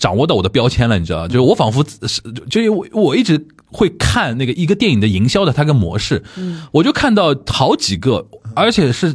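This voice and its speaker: With vocal fry and very wide pitch swings, a man speaks fairly high and at a fairly quick pace. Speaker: podcast host. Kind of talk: casual chat.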